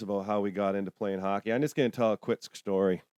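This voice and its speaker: Recorded dry and close with no echo against a silent background, the voice speaks with a Toronto accent. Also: man. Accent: Canadian (Toronto). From England, then Toronto area from age 8. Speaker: podcast host. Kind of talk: casual chat.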